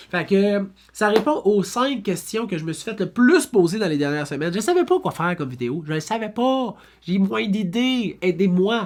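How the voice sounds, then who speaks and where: An animated tone in a Quebec accent at a moderate pace, on a very clean recording with a silent background. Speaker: real estate broker. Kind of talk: FAQ video monologue. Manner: animated, casual.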